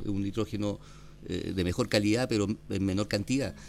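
A man talks in a normal speaking voice. His fairly low pitch shows ordinary variation. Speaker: organic winemaker, vineyard owner. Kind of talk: casual interview. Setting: on location at a vineyard.

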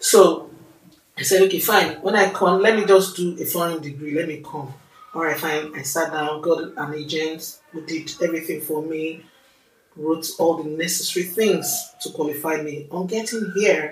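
With a Nigerian accent, a woman talks at a moderate pace. Music plays behind her. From Nigeria, Lagos. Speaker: podcast host, master's student. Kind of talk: casual chat. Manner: animated.

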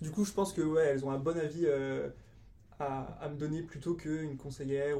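Fairly quick speech with fairly even intonation and long, frequent pauses. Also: man. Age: 20s. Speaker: event organiser. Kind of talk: interview. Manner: hesitant, many fillers.

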